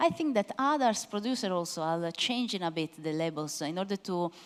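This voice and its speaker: Her pitch swings very widely around a medium level as the woman speaks. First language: Italian. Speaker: wine expert presenter. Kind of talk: masterclass Q&A. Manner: hesitant, many fillers.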